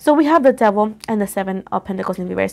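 Very quickly, a woman talks while her pitch varies in an ordinary way. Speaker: tarot reader. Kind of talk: tarot reading commentary. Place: home room. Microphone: phone near.

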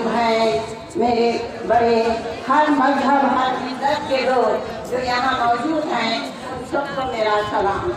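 Speech unfolds at a very slow pace. Strong room echo and noticeable background noise fill the recording. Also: woman. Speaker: protest speaker. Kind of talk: political rally speech. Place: street.

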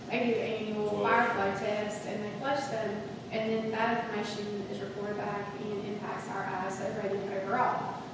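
The recording carries noticeable background noise and strong room echo. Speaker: county staff member. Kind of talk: public meeting discussion. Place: hall. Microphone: camera far.

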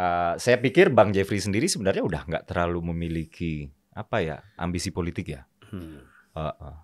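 In a quiet setting, a man speaks at a fairly quick pace with a very deep, low pitch and ordinary pitch variation. His loudness swings widely. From West Sumatra, Indonesia (Minang). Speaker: party politician. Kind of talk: political interview. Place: studio. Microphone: studio mic.

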